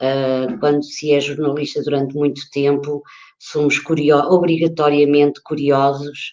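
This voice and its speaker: Very deep and low in pitch, a woman speaks with a dark, mellow tone, flat monotone intonation and a fairly slow pace. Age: 60s. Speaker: author and retired journalist. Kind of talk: talk about own work. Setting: online live stream. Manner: halting, many fillers.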